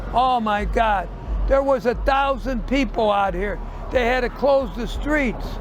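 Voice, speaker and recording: Amid audible room echo and noticeable background noise, a man with an American accent speaks fairly slowly at an extremely high pitch. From US Midwest, St. Louis. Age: 80s+. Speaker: retired shoe store owner. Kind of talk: street interview. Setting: outdoors on the street. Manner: halting.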